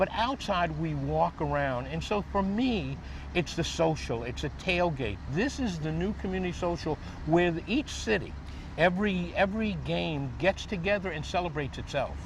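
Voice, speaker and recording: There is audible echo from the room. The male speaker goes at a moderate pace. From New Orleans, Louisiana. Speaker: tailgating enthusiast and former cooking school owner. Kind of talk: interview. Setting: outdoors at stadium tailgate party.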